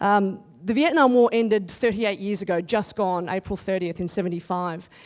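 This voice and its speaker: A woman with an Australian accent at a very fast pace, with ordinary pitch variation, in a very clean recording with a silent background. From Australia, countryside. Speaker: TV news reporter. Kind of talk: conference talk. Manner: loud.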